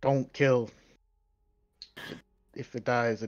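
A man puts on a gruff character voice. His pitch sits at a medium level.

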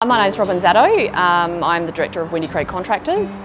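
A woman with a fairly low voice talks at a very fast pace over clear background music. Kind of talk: interview answer. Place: street.

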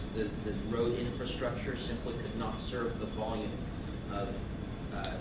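The voice carries audible room echo along with loud background noise. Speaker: transit agency representative. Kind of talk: presentation with Q&A. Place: meeting room. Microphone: camera far.

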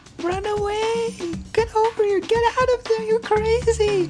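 An extremely high-pitched put-on character voice. Clear music plays in the background. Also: moderate pace. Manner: urgent, shouting.

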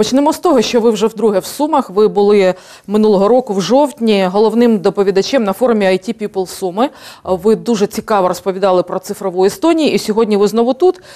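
A woman speaks in a plain, everyday voice at a fairly quick pace, her medium pitch moving with ordinary variation and her loudness very even against a quiet background. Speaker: TV host. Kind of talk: TV interview, moderating. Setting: TV studio. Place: studio. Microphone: lapel.

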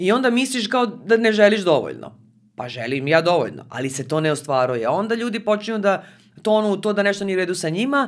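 Her pitch swings very widely as she talks. Nothing intrudes from behind. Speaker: podcast guest, communication trainer. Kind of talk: interview answer. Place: studio. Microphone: studio mic.

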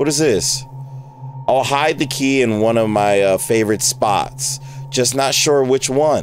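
A man talks at a very slow pace in a dry sound with no echo. Music plays in the background. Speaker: gamer streamer. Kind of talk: gameplay commentary. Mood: startled, joking, annoyed. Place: home room. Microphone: headset.

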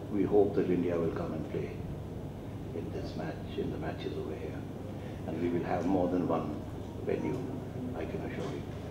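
Loud background noise runs under a man's voice. He speaks at a moderate pace with long, frequent pauses. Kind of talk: press conference announcement. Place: hall. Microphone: podium.

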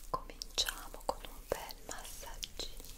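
Soft-spoken and whispering, a woman talks at a very slow pace. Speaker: ASMR creator. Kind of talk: soft ASMR relaxation talk. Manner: soft close-mic whisper. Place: home room.

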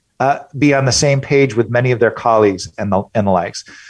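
A man's lively intonation comes through at a fairly quick pace in a quiet background. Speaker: author and innovation consultant. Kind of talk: interview. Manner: animated.

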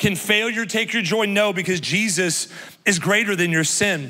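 This man's tone is animated, his voice raised and projected. He talks at a moderate pace with ordinary pitch variation. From US Midwest. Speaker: pastor. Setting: church stage with live congregation. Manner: animated, exuberant, rallying the crowd with repeated come on; warm, self-deprecating, confessional asides. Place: stage. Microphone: handheld.

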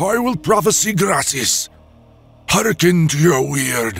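A man in a put-on character voice with a high pitch speaks at a fairly slow pace over faint music in the background. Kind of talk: archaic, prophetic. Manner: hissing, menacing.

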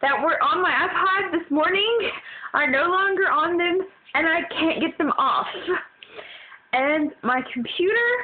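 A woman with an extremely high pitch and very wide pitch swings speaks at a very slow pace with long, frequent pauses. Her loudness stays very even over light background noise. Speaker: vlogger. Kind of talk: exasperated personal vlog rant about a broken iPod and computer. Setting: cell phone video recording. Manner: frustrated, venting, sighing heavily; deflated and weary, trailing off between complaints. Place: home room. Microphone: phone near.

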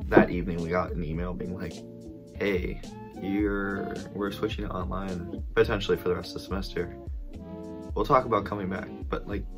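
Over clear music in the background, a man with a very deep, low pitch speaks at a fairly quick pace. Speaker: college student vlogger. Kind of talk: casual vlog chat. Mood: relaxed, chatty. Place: home room. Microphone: phone near.

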